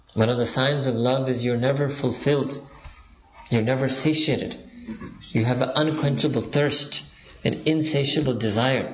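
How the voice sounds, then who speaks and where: Monotone, flat intonation at a moderate pace and very even loudness, with long, frequent pauses, audible room echo and noticeable background noise. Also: man, medium pitch for a man. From Pakistan. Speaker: Islamic preacher. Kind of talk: religious lecture.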